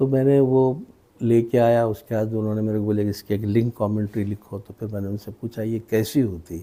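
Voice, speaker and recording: This man's voice sits fairly low. Its tone is dark and mellow. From Aurangabad, India. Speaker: radio broadcaster and novelist. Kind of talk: interview answer.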